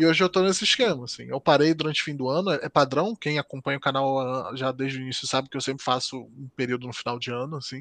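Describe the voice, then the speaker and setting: With a Rio de Janeiro accent, a man speaks at a very fast pace with ordinary pitch variation, in a dry, close sound with no echo over a quiet background. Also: medium pitch for a man. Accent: Brazilian Portuguese, carioca. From Brazil, Rio de Janeiro. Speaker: software developer and live streamer. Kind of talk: casual interview chat.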